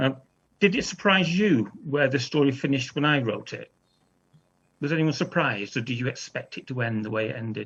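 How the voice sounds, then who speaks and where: A man speaks at a fairly quick pace with lively intonation. His pitch sits fairly high. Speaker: children's author. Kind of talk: author talk to school pupils. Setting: video call. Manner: fast.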